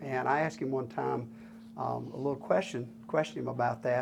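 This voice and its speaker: A man speaks in a Southern US accent. Noticeable background noise can be heard. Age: 60s. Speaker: retired sawmill owner. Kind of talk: interview. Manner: halting, many fillers.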